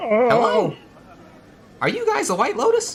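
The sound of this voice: A man performs a put-on character voice. He pitches it extremely high.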